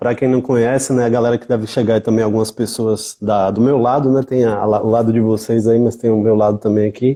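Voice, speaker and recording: A man talks at a fairly quick pace with hardly any pauses, in a medium pitch. His dark, mellow tone has monotone, flat intonation. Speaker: music event producer and researcher. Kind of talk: interview.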